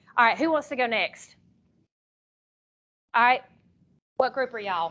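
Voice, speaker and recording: Loud and high-pitched, a woman talks at a moderate pace with lively intonation. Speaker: teacher trainer. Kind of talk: workshop presentation. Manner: talkative.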